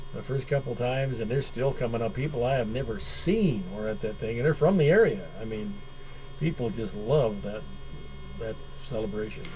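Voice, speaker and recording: Over noticeable background noise and audible room echo, a man with an American accent speaks at a moderate pace with ordinary pitch variation. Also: medium pitch for a man. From Wisconsin, US Midwest. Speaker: radio host. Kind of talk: radio interview.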